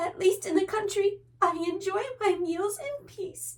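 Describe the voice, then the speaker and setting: Squeaky and extremely high-pitched, a woman's put-on character voice moves at a fairly slow pace. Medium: read story. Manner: soft, timid.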